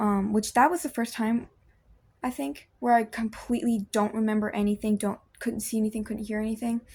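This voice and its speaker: In a very clean recording with a silent background, a woman speaks at a fairly quick pace. Her voice is fairly high-pitched and somewhat breathy. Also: ordinary pitch variation. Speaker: video blogger. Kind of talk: personal testimony. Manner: halting, many fillers.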